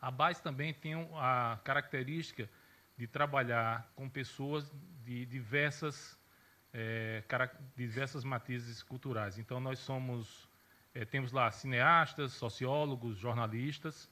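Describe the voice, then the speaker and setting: With a southern Brazilian accent, a man speaks very slowly at a medium pitch, his intonation fairly even and his tone bright and sharp. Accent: gaúcho Brazilian Portuguese, kept. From Rio Grande do Sul, Brazil (Santa Maria). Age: 40s. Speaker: journalist and social media consultant. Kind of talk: conference talk.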